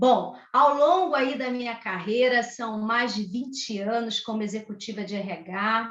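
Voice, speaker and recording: With audible room echo, a woman in a Rio de Janeiro accent talks at a fairly slow pace, her pitch fairly high with ordinary pitch variation. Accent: Rio de Janeiro (carioca). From Brazil, Rio de Janeiro. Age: 40s. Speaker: HR executive. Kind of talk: podcast interview. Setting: home office video call.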